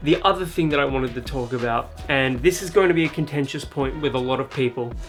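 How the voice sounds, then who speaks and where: A man's medium-pitched voice is heard with music going in the background. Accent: Australian. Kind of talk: casual talk to camera.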